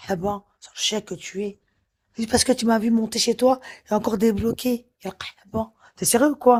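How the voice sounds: A woman in an angry tone, fairly high-pitched and somewhat breathy, at a moderate pace.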